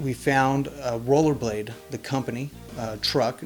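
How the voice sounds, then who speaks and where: A man's voice over background music. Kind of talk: interview answer.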